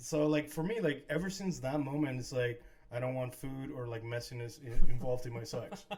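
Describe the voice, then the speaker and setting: Against noticeable background noise and audible room echo, a man talks fairly quickly at a medium pitch. His pitch moves in an ordinary way, but his loudness swings a lot. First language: not English. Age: 40s. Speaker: podcast co-host. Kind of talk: casual chat. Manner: halting.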